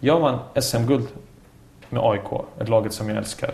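Here a man speaks at medium pitch. His pace is moderate. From Bosnia (Sarajevo), moved to Sweden at 10. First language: Bosnian/Serbian (speaking Swedish). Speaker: former footballer and coach. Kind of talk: casual chat. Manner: talkative.

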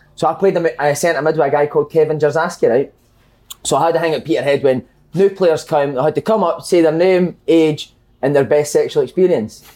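A man with a Scottish accent speaks at a fairly quick pace and a fairly high pitch. His tone is dark and mellow, his loudness very even and his intonation fairly even. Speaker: football podcast host. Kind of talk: casual chat.

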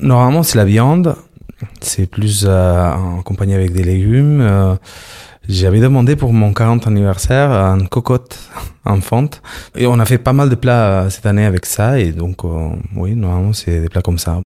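A man with a Catalan accent, fairly low in pitch with a dark, mellow tone, at a fairly slow pace with long, frequent pauses, in a very clean recording with a silent background. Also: ordinary pitch variation. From Barcelona, Spain. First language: Spanish or Catalan (speaking French). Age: 40s. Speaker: interviewee. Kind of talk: casual chat.

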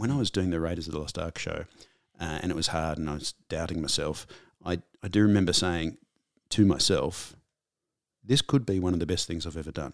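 With an Australian accent, a man speaks at a very fast pace. His pitch is very deep and low. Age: 50s. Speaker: comedian and actor. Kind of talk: casual interview. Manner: halting, repeats words.

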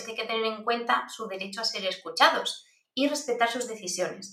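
Delivered at a fairly quick pace, a normal speaking voice moves with ordinary pitch variation. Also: woman. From Basque Country, Spain. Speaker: privacy expert and university lecturer. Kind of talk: interview.

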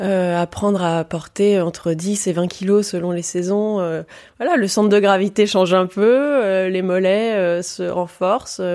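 A woman talks at a fairly slow pace in an unremarkable speaking voice. Her pitch is medium and her intonation fairly even. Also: very clean recording, silent background. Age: 30s. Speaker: travel writer and adventurer. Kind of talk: interview.

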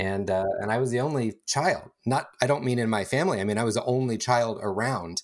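A man talks with an American accent at a medium pitch and a fairly quick pace. He barely pauses, and his pitch varies in an ordinary way. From Northern California, East San Francisco Bay. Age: 40s. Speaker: podcast guest sharing personal story. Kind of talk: casual conversation, personal testimony. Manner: hesitant with frequent fillers and repeats.

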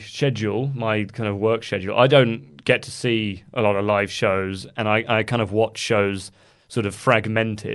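A man's medium-pitched voice at a fairly slow pace with hardly any pauses, over a quiet background. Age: 20s. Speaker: wrestling news site editor. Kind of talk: casual chat. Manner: halting.

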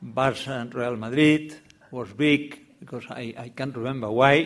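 At a moderate pace and medium pitch, a man with a Catalan accent speaks with fairly even intonation. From Catalonia, Spain. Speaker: novelist. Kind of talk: panel discussion. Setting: bookshop event with audience.

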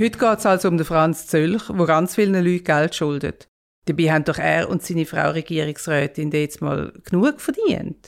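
Speaking with a Swiss accent, a woman has a fairly low pitch and ordinary pitch variation. Her loudness stays very even at a moderate pace. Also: very clean recording, silent background. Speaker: podcast host, journalist. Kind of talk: conversational storytelling.

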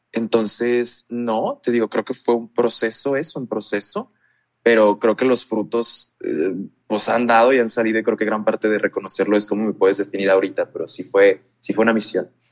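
Recorded with a dry, close sound and no echo, a man of medium pitch speaks in an unremarkable speaking voice with fairly even intonation. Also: moderate pace. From Mexico, La Paz, Baja California Sur. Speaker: LGBTQ+ youth advocate. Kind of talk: interview.

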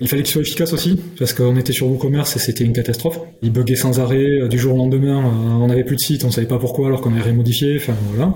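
Over noticeable background noise and audible room echo, a man speaks at a very fast pace in a medium pitch with fairly even intonation. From France, Gers (southwest). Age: 40s. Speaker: underwear brand founder. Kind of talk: casual interview chat. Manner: hesitant, many fillers.

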